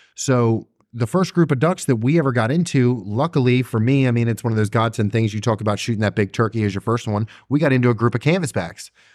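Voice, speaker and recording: The recording is dry and close with no echo, over a quiet background. A man with an American accent talks very fast at a medium pitch with ordinary pitch variation. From Maryland. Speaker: outdoors content creator. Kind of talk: casual chat.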